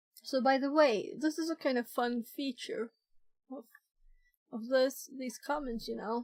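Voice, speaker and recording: A woman speaks in a high pitch. Her pace is fairly slow. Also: dry, close sound with no echo. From Sweden. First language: Swedish. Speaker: live streamer learning hacking. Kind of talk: live stream tutorial. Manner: hesitant, with many fillers.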